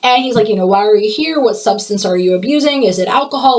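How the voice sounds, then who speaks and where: At a very fast pace, a woman speaks at a fairly high pitch with ordinary pitch variation. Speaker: podcast host. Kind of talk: solo podcast monologue. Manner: stutters at times; casual, conversational.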